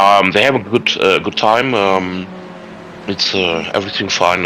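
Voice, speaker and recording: With a German accent, a man talks at a fairly low pitch and a fairly slow pace. His pitch variation is ordinary, and noticeable background noise comes through. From Germany. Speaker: sim racing team manager. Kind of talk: interview. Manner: halting.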